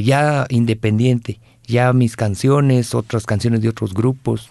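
A man with a Guatemalan accent talks at a medium pitch in a dark, mellow tone. His pace is fairly slow. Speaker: singer-songwriter. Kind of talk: interview. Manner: halting.

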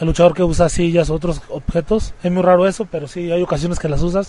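Speaking at a very fast pace, a man with a high pitch keeps fairly even intonation over noticeable background noise. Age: 20s. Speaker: professional wrestler. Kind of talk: interview.

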